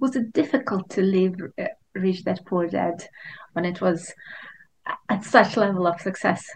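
At a moderate pace, the somewhat breathy voice comes with long, frequent pauses. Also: woman, medium pitch for a woman, ordinary pitch variation. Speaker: podcast host. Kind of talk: interview. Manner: halting, hesitant.

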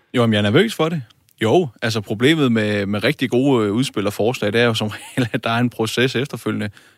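A man's medium-pitched voice carries fairly even intonation on a very clean recording with a silent background. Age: 20s. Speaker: parliamentary candidate, industrial technician. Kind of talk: political debate.

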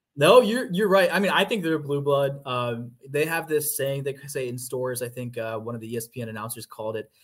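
A man with an American accent talks at a moderate pace and a fairly high pitch, with hardly any pauses. His voice is somewhat breathy, with ordinary pitch variation. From US South, Georgia. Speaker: sports beat writer. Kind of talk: casual interview.

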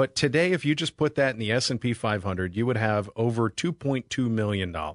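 This man has an unremarkable speaking voice at medium pitch, with lively intonation. The sound is dry and close with no echo, over a quiet background. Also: fairly quick pace, hardly any pauses. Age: 40s. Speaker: financial advisor. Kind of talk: radio talk show. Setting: studio.

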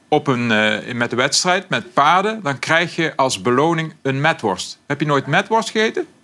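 A bright, sharp tone with a Brabant accent, very wide pitch swings, very even loudness, a moderate pace and hardly any pauses. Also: man, fairly high pitch for a man. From Brabant, southern Netherlands. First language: Brabant dialect (speaking Dutch). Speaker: language expert. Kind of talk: casual chat.

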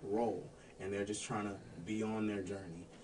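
The man has an American accent and a fairly low pitch. Audible room echo surrounds his voice. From Florida, Daytona Beach. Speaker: singer in a party band. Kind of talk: casual interview chat. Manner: deadpan.

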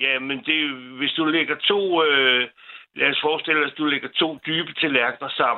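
A man with a plain, everyday voice speaks slowly-ish at a fairly slow pace, fairly high in pitch, with ordinary pitch variation. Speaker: caller. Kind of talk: casual chat. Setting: phone call.

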